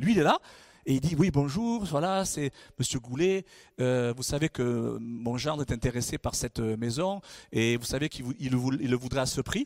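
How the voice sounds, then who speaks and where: With an animated tone, a man speaks at a moderate pace and varies his pitch in an ordinary way. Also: dry, close sound with no echo. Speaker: guest pastor. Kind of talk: sermon. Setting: church stage with congregation.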